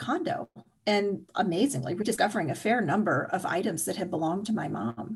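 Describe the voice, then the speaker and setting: Vocal fry colors a woman's medium-pitched voice as she speaks with lively intonation. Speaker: writer and energy healer. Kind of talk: personal testimony in interview.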